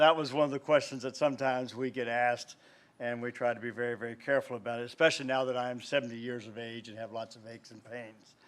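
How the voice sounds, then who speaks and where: The speaker is a man with a Southern US accent. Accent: Southern US (Georgia). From US South. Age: 70s. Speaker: pastor. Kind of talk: invocation speech at public meeting.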